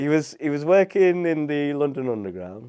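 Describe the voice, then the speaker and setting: Speaking at a moderate pace, a man with a British accent has a dark, mellow tone. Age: 40s. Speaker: property investor and business coach. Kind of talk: casual interview chat.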